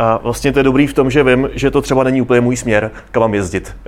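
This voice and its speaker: A man with a plain, everyday voice speaks at a fairly quick pace, his pitch medium and his intonation fairly even. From South Moravia, Czechia. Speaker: travel photographer. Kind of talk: interview before live audience. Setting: café with live audience.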